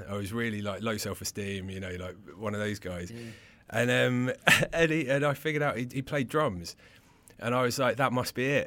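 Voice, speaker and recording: Medium pitch from a man with a bright, sharp tone, ordinary pitch variation and a moderate pace, on a very clean recording with a silent background. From England, Suffolk-Essex border. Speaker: entrepreneur and mental health organisation founder. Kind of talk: interview. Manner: animated.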